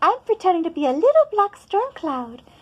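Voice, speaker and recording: Extremely high, squeaky put-on character voice from a woman, full of very wide pitch swings. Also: moderate pace. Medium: read story.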